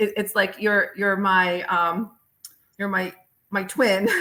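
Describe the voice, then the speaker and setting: With an American accent, the voice has a bright, sharp tone. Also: woman. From United States. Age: 50s. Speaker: physician and author. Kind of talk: podcast interview. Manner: halting, many fillers.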